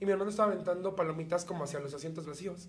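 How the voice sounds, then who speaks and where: A man speaks with ordinary pitch variation, and audible room echo can be heard. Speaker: podcast co-host. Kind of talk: casual chat. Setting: studio.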